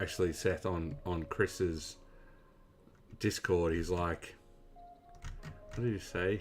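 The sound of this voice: Music plays behind a man with an Australian accent. He talks very slowly, with long, frequent pauses.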